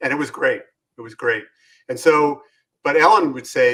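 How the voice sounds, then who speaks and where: This man speaks with a New York accent. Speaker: business consultant and author. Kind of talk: interview.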